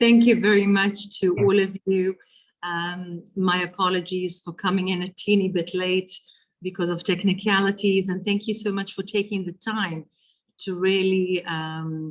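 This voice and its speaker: In a South African accent, a woman talks at a moderate pace and medium pitch with monotone, flat intonation. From Israel (Ashdod), then South Africa. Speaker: politician. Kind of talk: lecture. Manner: halting, many fillers.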